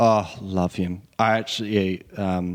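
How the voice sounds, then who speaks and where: This man speaks with an Australian accent. His pitch is fairly low and his intonation fairly even. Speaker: indie singer-songwriter and producer. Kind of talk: casual interview chat. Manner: halting, many ums.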